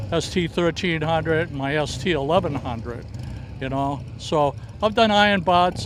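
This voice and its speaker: Speaking at a moderate pace, a man with a Boston accent uses a fairly high pitch and ordinary pitch variation. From US Northeast, Boston area (Dorchester). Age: 70s. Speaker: motorcycle owner at a show. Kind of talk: casual interview. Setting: outdoors at a fairground show. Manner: hesitant, many filler words.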